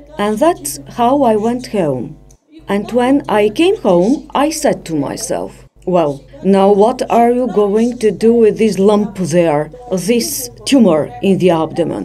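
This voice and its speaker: A woman talks very slowly at a medium pitch, her voice swinging very widely up and down. There is noticeable background noise. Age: 90s. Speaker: patient. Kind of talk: testimony.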